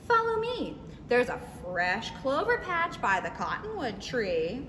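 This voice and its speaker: A female-sounding voice puts on a character voice at a high pitch. Clear background noise runs behind it. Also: moderate pace. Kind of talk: bedtime story. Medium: read story.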